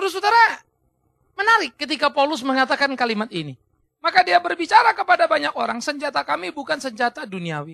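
A man with an extremely high, bright, sharp voice projects loudly at a very fast pace, animated and with very wide pitch swings. The sound is dry with no echo, and the background is quiet. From Indonesia. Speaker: pastor. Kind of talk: sermon. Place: studio. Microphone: lapel.

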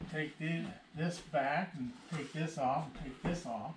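A man speaks slowly with vocal fry and ordinary pitch variation. Room echo is audible.

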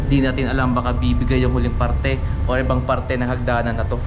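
Music plays in the background. A man talks at a very fast pace. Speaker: urban explorer vlogger. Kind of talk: casual vlog chat. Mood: cautious, slightly spooked. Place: empty room. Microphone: phone near.

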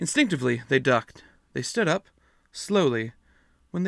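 Just a natural reading voice

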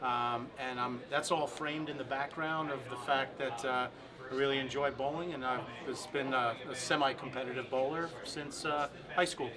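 A man at a moderate pace, monotone and flat, over noticeable background noise. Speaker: guest. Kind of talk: interview answer. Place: home room.

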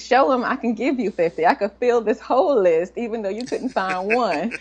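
The speaker is a woman with lively intonation. She keeps a moderate speed. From Washington, D.C. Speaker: computer science professor. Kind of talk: interview. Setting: remote call from a conference in New York. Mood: relaxed, smiling. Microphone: video call.

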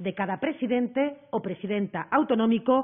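Moderate-paced speech from a woman over a quiet background. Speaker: government minister. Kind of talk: official press statement. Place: hall. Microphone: podium.

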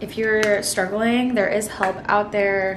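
A woman talks at a very slow pace in a monotone, flat intonation. Noticeable background noise runs underneath. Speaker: lifestyle vlogger. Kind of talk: casual vlog chat. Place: kitchen. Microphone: phone near.

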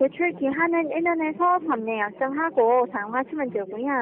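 Her pitch swinging very widely, a woman talks at a fairly slow pace against noticeable background noise. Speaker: phone scammer posing as loan agent. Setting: phone line. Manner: scripted sales pitch, drawn-out endings.

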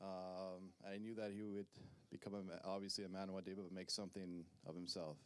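A man with a very deep, low voice speaks fairly quickly in a flat monotone. The sound is dry, with no echo. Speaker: best man giving a wedding toast. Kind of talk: best man speech, wedding toast with light teasing. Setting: wedding reception in front of guests. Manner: halting, filled with uhs and um, nervous laughter; warm, sincere and joking. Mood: sentimental, slightly nervous. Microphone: handheld.

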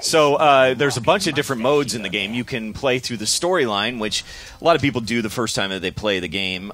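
A man talks very fast with lively intonation. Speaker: game developer. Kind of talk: gameplay demo interview. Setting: studio. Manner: halting.

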